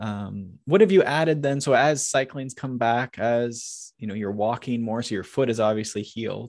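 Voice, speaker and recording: A man speaks at a medium pitch and moderate pace with hardly any pauses, in an unremarkable speaking voice. His pitch variation is ordinary, and the background is quiet. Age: 30s. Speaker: cycling coach and podcast co-host. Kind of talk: casual interview.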